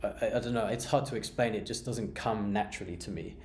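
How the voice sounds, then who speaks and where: A man's dark, mellow voice with audible room echo. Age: 30s. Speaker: beer vlogger. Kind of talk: personal monologue. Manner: monotone; halting, many fillers and repeats.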